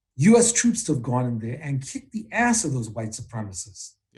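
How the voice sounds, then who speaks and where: This man's voice has a fairly high pitch and is somewhat breathy. He moves at a fairly quick pace with very wide pitch swings. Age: 60s. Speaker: activist and trade unionist. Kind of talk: political interview.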